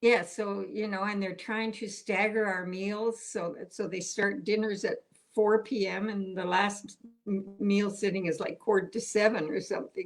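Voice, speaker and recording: With music in the background, a woman speaks at a moderate pace and medium pitch, her intonation monotone and flat. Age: 80s+. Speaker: retiree, painter. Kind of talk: interview answer. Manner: casual, chatty.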